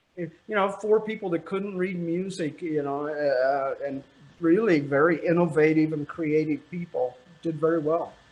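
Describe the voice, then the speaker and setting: The man's voice sits high in pitch, moving at a moderate pace with ordinary pitch variation. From Missouri, US Midwest. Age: 70s. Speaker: trumpeter and music educator. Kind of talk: casual interview. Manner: halting, many fillers.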